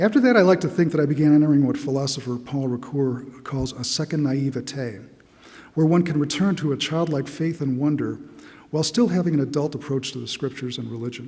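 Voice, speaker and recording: Speaking at a fairly quick pace, a man with a fairly high pitch and ordinary pitch variation is heard with audible room echo. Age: 60s. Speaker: church member giving testimony. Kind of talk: testimony. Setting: church.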